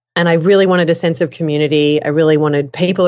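With a strong Australian accent, a woman talks at a fairly quick pace in a very deep, low pitch, showing ordinary pitch variation against a quiet background. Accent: broad Australian. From Australia, Melbourne. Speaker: podcasting teacher and voiceover artist. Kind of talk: casual chat.

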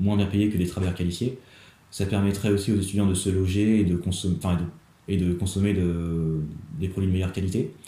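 A man with a very deep, low pitch and a dark, mellow tone talks very fast in a monotone, flat way that is somewhat breathy. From Normandy, France (Rouen). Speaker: student activist. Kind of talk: interview. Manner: halting, many repetitions and fillers.

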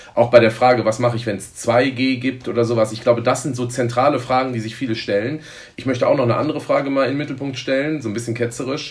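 The speech goes at a very fast pace with ordinary pitch variation over noticeable background noise. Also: man. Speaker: football fan representative. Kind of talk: interview.

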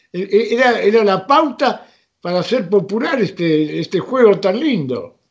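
Speaking with lively intonation, this man has a high pitch. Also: fairly slow pace. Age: 80s+. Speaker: retired rugby player and club veteran. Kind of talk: interview, storytelling.

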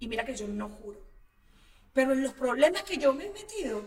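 Her high voice rises and falls across a very wide pitch range. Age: 40s. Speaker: actress. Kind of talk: casual chat.

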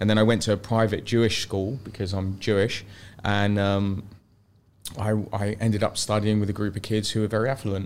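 A man with a fairly low voice speaks fairly quickly in a flat monotone, recorded very cleanly against a silent background. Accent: London. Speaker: luxury property agent. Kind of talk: podcast interview. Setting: studio.

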